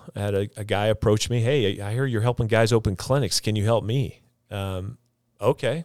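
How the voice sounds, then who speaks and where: Fairly quick and fairly low in pitch, a man speaks in an unremarkable speaking voice with fairly even intonation on a very clean recording with a silent background. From Idaho, moved from Texas at ten. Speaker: physical therapist and clinic business owner. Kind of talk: casual interview. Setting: studio.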